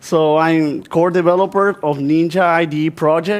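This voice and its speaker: In an Argentine accent, a man speaks at a fairly slow pace with a fairly high pitch. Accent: Spanish-speaking Argentine accent in English. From Argentina. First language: Spanish. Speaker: software developer, conference speaker. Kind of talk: conference talk. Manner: halting.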